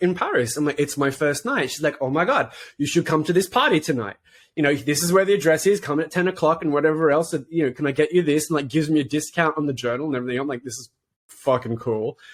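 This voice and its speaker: Delivered at a very fast pace with ordinary pitch variation, the speech comes with an Australian accent. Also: man. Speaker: podcast co-host. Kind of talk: casual chat. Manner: animated.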